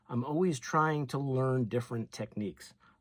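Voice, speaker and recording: A man speaks at a medium pitch and a moderate pace. He has a normal speaking voice. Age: 60s. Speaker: fishing YouTuber. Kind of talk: casual talk to camera.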